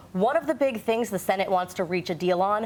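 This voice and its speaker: Noticeable background noise is present. A woman speaks with lively intonation. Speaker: TV news anchor. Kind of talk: local TV news anchoring.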